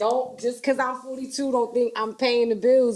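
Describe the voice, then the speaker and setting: Over noticeable background noise, a woman talks in an animated tone at a high pitch. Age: 40s. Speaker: podcast host. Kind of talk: casual chat.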